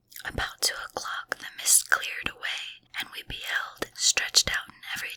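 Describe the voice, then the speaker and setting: A woman whispers at a moderate pace, the sound dry and close with no echo. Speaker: ASMR content creator. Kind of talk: whispered audiobook reading of a classic novel, ASMR. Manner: whispered, quiet, relaxing.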